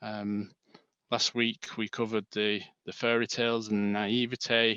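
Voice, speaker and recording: Speaking fairly slowly in an English accent, this voice has a bright, sharp tone and a flat monotone, recorded dry and close with no echo against a quiet background. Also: man, medium pitch for a man. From northern England, Manchester. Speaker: bereaved father and stillbirth charity volunteer. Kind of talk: webinar presentation.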